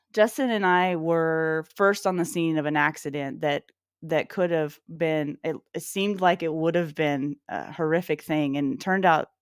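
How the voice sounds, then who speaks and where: A woman speaks in a fairly low voice with ordinary pitch variation. The sound is dry and close with no echo, on a very clean recording with a silent background. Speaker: firearms instructor and show host. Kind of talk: motivational talk on live show. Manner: fast.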